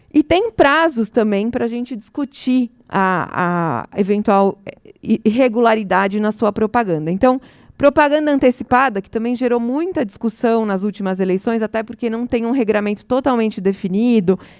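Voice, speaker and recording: The sound is dry and close with no echo, the recording very clean with a silent background, and the pitch varies in an ordinary way. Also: woman, fairly high pitch for a woman. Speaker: electoral law speaker. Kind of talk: lecture. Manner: fast.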